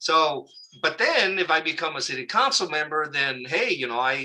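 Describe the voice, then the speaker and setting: A man with a normal speaking voice, a fairly high pitch and a moderate pace. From Southern California (Oxnard area). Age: 60s. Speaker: local community activist. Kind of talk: interview. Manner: casual, conversational with fillers.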